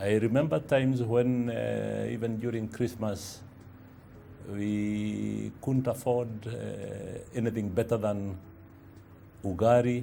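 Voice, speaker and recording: A man with a Kenyan accent speaks very slowly in a dark, mellow tone at a fairly low pitch. His intonation is fairly even, with long, frequent pauses. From Kenya, Kiambu (Githunguri). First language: Kikuyu. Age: 60s. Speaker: publisher and entrepreneur. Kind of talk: interview testimony. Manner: hesitant, many fillers.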